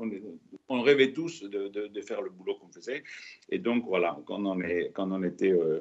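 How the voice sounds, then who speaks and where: With lively intonation and a fairly low pitch, a man speaks at a moderate pace, leaving long, frequent pauses, his loudness rising and falling sharply. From Spain. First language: Spanish (speaking French). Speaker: retired test pilot chief. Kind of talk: onstage interview. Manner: halting, many repetitions.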